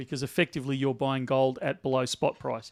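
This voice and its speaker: A man with an Australian accent talks in a fairly high pitch. The recording is very clean, with a silent background. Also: dry, close sound with no echo. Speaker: bullion dealer. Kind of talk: live stream chat. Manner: loud.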